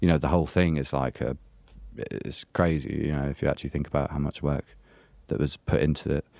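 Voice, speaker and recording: This voice has a dark, mellow tone with vocal fry, moving at a fairly quick pace with fairly even intonation. The sound is dry and close, with no echo. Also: man, very deep, low pitch for a man, very clean recording, silent background. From Essex, England. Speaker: electronic music producer. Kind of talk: casual interview.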